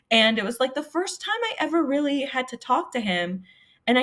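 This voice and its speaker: Her pitch is high and swings very widely. The woman keeps a moderate pace. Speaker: sports media personality. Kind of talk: casual podcast conversation. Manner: stutters when nervous.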